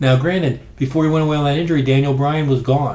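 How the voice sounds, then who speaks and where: Very fast speech with audible room echo. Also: man. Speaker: wrestling podcast host. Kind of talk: casual commentary monologue. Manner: quiet, low-key.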